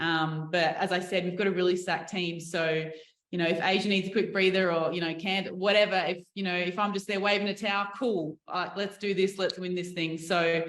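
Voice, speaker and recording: A woman speaks in an Australian accent at medium pitch. Her pace is fairly quick and her intonation monotone and flat. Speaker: professional basketball player. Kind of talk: media interview. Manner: casual, chatty.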